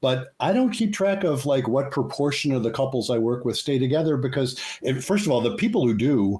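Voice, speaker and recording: The voice has a dark, mellow tone, somewhat breathy, moving at a fairly quick pace with very even loudness. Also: man, medium pitch for a man, lively intonation, hardly any pauses. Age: 70s. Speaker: psychologist and couples therapist. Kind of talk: interview.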